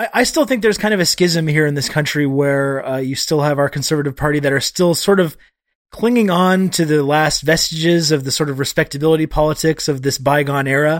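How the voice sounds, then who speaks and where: An ordinary speaking voice from a man with a Canadian accent, fairly high-pitched and fairly quick, ordinary pitch variation, on a very clean recording with a silent background. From Canada. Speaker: journalist. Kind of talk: casual chat.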